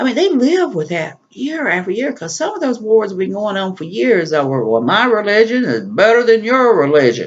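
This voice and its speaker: A man speaks with a Southern accent at a high pitch, with very wide pitch swings. He keeps a moderate pace with hardly any pauses. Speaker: prepper vlogger. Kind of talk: solo vlog monologue. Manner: casual, conversational.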